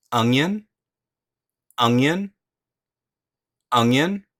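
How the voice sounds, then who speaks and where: An American man with an unremarkable speaking voice uses lively intonation at a medium pitch, heard with a dry, close sound and no echo. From United States. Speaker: English pronunciation teacher. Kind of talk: English vocabulary lesson, repeated word drills.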